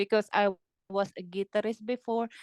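The woman speaks at a fairly high pitch. Ordinary pitch variation comes through a dry, close sound with no echo. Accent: Filipino. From Philippines. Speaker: heavy metal drummer. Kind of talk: interview. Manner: halting, many fillers and repetitions; laughs often, enthusiastic.

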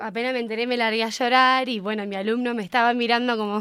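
Heard on a very clean recording with a silent background, a woman speaks at a fairly quick pace in a plain, everyday voice with a fairly high pitch. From Argentina, San Nicolás, Buenos Aires province. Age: 20s. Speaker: English teacher. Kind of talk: interview.

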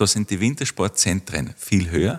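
With a very clean recording and a silent background, a man speaks at a moderate pace with vocal fry and lively intonation in a dry, close sound with no echo. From Austria, Tyrol (Kitzbühel district). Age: 40s. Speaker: winter tourism researcher. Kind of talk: interview.

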